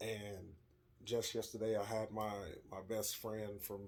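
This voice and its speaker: Somewhat breathy, a man talks in a fairly low, monotone, flat voice. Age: 30s. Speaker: vlogger. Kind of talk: casual vlog monologue. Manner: mumbles over words; hesitant, many fillers.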